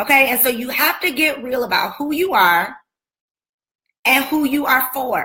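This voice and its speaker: Shouting in a raised, projected voice, a woman with an American accent sounds animated and passionate, her high pitch bright and sharp and her intonation lively. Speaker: business coach and speaker. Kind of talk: motivational talk on a livestream. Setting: Facebook and Instagram live video. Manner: animated, passionate, often yelling.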